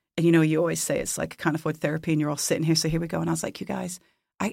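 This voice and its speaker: Husky and touched with vocal fry, a woman's fairly low voice comes through in a very clean recording with a silent background. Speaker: worship leader. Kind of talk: casual chat. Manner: playful, joking.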